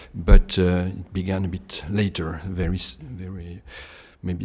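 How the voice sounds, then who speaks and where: Over a very clean recording with a silent background, a man with a French accent speaks at a moderate pace in a very deep, low pitch with a dark, mellow tone and monotone, flat intonation. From France, Bordeaux region. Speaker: climate scientist. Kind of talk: lecture. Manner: halting, many hesitations.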